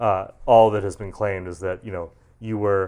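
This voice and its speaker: A man speaks at a moderate pace with an American accent, his pitch fairly low. The recording is very clean, with a silent background. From western Massachusetts. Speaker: journalist. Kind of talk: casual chat.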